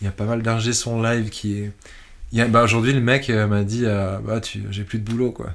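The speaker is a man with monotone, flat intonation. He leaves hardly any pauses. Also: medium pitch for a man, moderate pace. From Switzerland. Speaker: electronic musician. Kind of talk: interview. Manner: halting.

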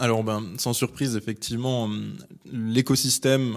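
A man at medium pitch and moderate pace, with monotone, flat intonation. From northern France, Lille. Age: 30s. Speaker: craft brewer. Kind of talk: interview.

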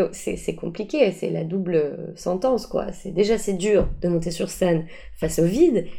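This woman speaks at a moderate pace with a medium pitch and ordinary pitch variation. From Paris, France. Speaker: improv actor and coach. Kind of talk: interview. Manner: hesitant, many fillers.

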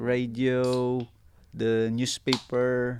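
Speaking with a Filipino accent, a man has a medium pitch. His intonation is monotone and flat. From Philippines, Northern Mindanao. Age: 30s. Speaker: ship's second officer. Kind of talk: interview. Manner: halting.

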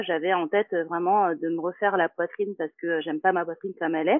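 With fairly even intonation, a woman speaks in a normal speaking voice at a fairly low pitch. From Martinique. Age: 30s. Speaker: yoga teacher. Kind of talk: casual chat.

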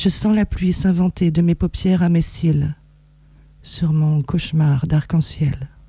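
A woman speaks very slowly at a fairly low pitch. Her loudness stays very even, and her intonation is fairly even. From France, Reims. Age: 40s. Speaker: poet and writer. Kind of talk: poetry reading. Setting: radio studio.

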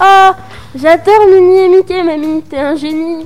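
A woman uses a put-on character voice at an extremely high pitch. It sounds shaky and comes at a fairly slow pace. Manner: feigned delight.

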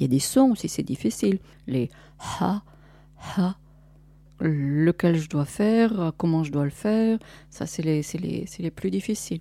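Speaking very slowly with long, frequent pauses, a woman uses a fairly low pitch with very wide swings and a dark, mellow tone. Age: 50s. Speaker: interviewee, producer's mother. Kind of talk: recorded interview.

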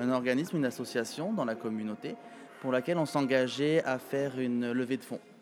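Against noticeable background noise, a man with a medium pitch speaks at a moderate pace with ordinary pitch variation. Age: 30s. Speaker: pageant titleholder and show organizer. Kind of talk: interview.

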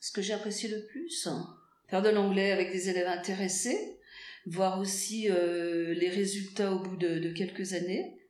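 At a fairly slow pace, a woman speaks at medium pitch with fairly even intonation. The clip has audible room echo and noticeable background noise. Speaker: school English teacher. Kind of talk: interview. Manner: hesitant, many fillers.

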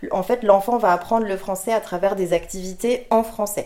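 At a moderate pace and medium pitch, a woman speaks in an ordinary speaking voice with fairly even intonation. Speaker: French language teaching coordinator. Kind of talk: interview.

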